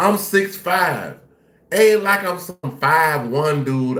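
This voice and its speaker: An animated man's fairly high voice with lively intonation and audible room echo. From Jacksonville, Florida. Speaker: live-stream reaction host. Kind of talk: casual live-stream reaction commentary.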